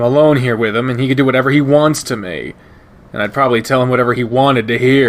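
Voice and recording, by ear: Fairly even intonation in a natural read-aloud voice.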